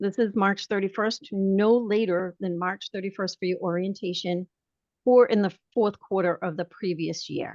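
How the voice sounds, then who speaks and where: With a Boston accent, a woman of medium pitch speaks at a moderate pace with fairly even intonation, in a dry, close sound with no echo and a quiet background. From Boston, Massachusetts. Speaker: realtor association leader. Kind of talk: webinar training presentation. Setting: video call. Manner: conversational.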